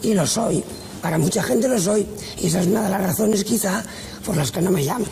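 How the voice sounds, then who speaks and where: With ordinary pitch variation and long, frequent pauses, a woman speaks over light background noise. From Valencia, Spain. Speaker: actress. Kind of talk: TV interview answer. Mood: firm, frank, slightly bitter. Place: studio.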